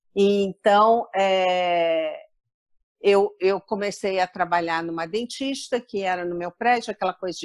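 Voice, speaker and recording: A woman's medium-pitched voice at a very slow pace, with ordinary pitch variation, a dry, close sound with no echo, and a very clean recording with a silent background. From Rio de Janeiro suburbs, Brazil. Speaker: corporate travel speaker and author. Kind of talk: interview.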